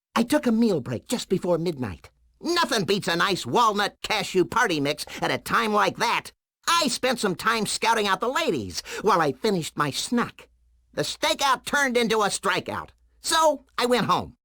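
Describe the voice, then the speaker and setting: Pitched fairly high, this is a put-on character voice. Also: moderate pace. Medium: video game.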